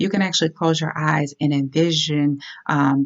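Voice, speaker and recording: This woman's voice sits at a very deep, low pitch. Her pitch variation is ordinary. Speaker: health and transformation coach. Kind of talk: casual talk to camera. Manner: hesitant, stammering.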